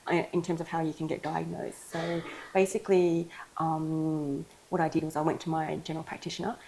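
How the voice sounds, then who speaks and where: A woman with an Australian accent speaks at a fairly quick pace and a very deep, low pitch. Her tone is dark and mellow, her intonation monotone and flat. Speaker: ADHD coach. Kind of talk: interview. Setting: clinic.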